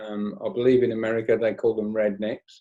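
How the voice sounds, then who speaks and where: With a West Midlands accent, a man speaks in a dark, mellow tone. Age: 60s. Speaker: stage hypnotist. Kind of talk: interview storytelling.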